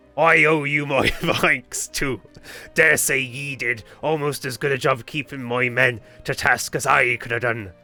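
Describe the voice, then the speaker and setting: A man puts on a gruff character voice at medium pitch, with fairly even intonation and a moderate pace. Music plays in the background. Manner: gruff, bluff.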